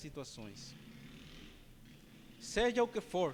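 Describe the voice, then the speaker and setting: A man with a non-native accent speaks in a high pitch. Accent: non-native, imperfect Portuguese. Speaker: preacher. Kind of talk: sermon.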